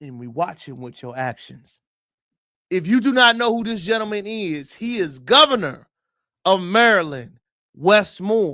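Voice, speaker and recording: This man speaks with an American accent in an animated, raised, projected voice that is high-pitched, bright and sharp, with very wide pitch swings, big swings in loudness and a fairly slow pace. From United States. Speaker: livestream commentator. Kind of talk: live stream commentary.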